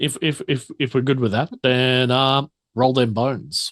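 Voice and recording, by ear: A man speaks at a medium pitch with a fairly bright tone and fairly even intonation. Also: fairly slow pace.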